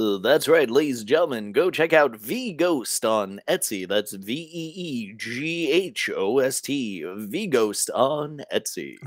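Using a put-on character voice at a medium pitch, a man talks very slowly with long, frequent pauses on a very clean recording with a silent background. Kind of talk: broadcast announcer, showy. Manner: enthusiastic.

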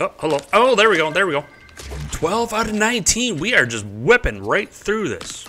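A man speaks at a moderate speed with light noise in the background. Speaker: gaming YouTuber. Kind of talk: casual gameplay commentary. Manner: self-deprecating, rambling; casual, chatty. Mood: cheerful, relaxed. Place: home room. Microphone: studio mic.

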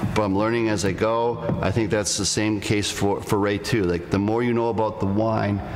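At a moderate pace, a man delivers his words in a fairly low pitch with monotone, flat intonation, and noticeable background noise is present. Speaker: host. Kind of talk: live podcast talk to audience. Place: hall. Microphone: studio mic.

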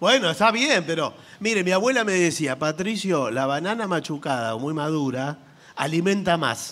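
A man talks at a moderate pace in a high voice with lively intonation. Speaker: comedian co-host. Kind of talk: live comedy radio show with sketches. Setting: theater stage with audience.

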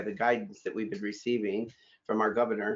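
A male speaker over a quiet background. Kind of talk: address to staff. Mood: earnest, grateful. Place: home room. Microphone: webcam.

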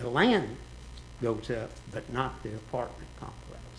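A man's voice with audible room echo. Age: 70s. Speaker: resident speaking at public hearing. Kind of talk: public comment at city meeting. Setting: city commission meeting.

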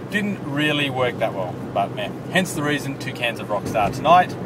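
Noticeable background noise sits behind a man talking at a fairly quick pace. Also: dry sound with no echo. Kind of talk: casual vlog chat. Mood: relaxed, chatty. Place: car. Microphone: phone near.

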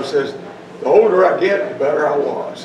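Noticeable background noise and audible room echo fill the recording. Through them, a man speaks fairly quickly. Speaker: speaker. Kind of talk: reflective talk to audience. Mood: humorous, self-deprecating. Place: hall. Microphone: podium.

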